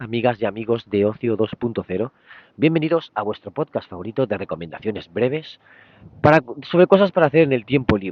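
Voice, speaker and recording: A man puts on a hoarse, raspy character voice at a medium pitch. He races along at a very fast pace. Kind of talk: podcast host greeting, friendly.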